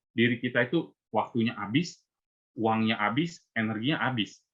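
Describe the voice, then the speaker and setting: In an ordinary speaking voice, the words come at a fairly quick pace with ordinary pitch variation. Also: man. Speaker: invited speaker at Buddhist youth service. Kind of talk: talk to youth group. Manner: casual, conversational.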